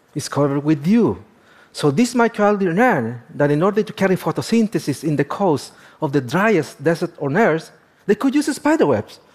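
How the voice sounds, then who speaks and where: A man speaks with a Spanish accent at a high pitch. His pitch swings very widely, and the recording is very clean with a silent background. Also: moderate pace. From Chile, Atacama region. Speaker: astrobiologist. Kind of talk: lecture.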